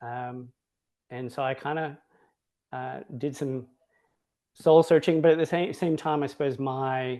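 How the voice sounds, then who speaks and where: With an Australian accent and a dark, mellow tone, a man speaks at medium pitch and a fairly slow pace, with fairly even intonation, long, frequent pauses and a quiet background. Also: big swings in loudness. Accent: Australian-sounding. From Hawaii, US. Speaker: Montessori educator, school director. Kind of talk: online interview conversation.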